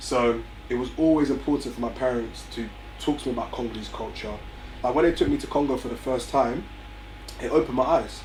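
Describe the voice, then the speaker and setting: A man with an English accent at a very fast pace, broken by long, frequent pauses, amid noticeable background noise and audible room echo. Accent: very English, well spoken. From North London, England (Barnet). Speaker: young entrepreneur, music company founder. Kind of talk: interview.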